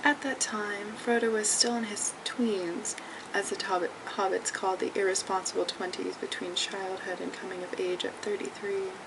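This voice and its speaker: Whispering at a moderate pace with hardly any pauses, a woman speaks over noticeable background noise. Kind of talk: read story. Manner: whispered.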